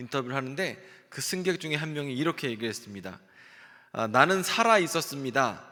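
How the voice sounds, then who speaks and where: A man at a fairly quick pace, fairly high-pitched, with a bright, sharp tone and lively intonation. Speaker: pastor. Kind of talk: sermon. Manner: animated.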